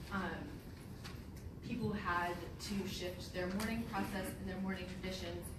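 Room echo is audible as a woman speaks. Background noise is noticeable. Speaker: presenter. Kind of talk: lecture. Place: hall. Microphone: camera far.

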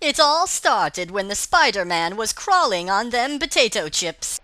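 A female-sounding put-on character voice, fairly high in pitch, moves at a moderate pace with very wide pitch swings. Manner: rambling, cheeky.

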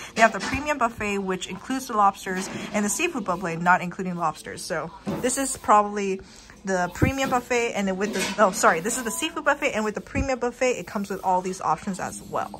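A woman with lively intonation talking at a very fast pace over music in the background. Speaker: food vlogger. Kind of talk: casual vlog chat. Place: cafe. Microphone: phone near.

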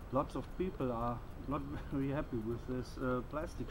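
With a German accent, a man talks at a fairly slow pace over noticeable background noise. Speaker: bushcraft youtuber. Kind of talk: casual outdoor gear tutorial. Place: garden.

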